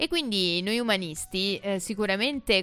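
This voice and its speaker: A woman talks at a fairly slow pace. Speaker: radio host. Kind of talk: casual monologue. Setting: studio. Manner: chatty.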